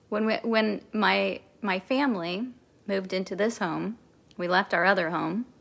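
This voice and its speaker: With an American accent, a woman speaks with vocal fry and ordinary pitch variation. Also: medium pitch for a woman, moderate pace. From Kansas City, Missouri. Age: 40s. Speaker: spiritual coach. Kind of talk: recorded masterclass talk. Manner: animated.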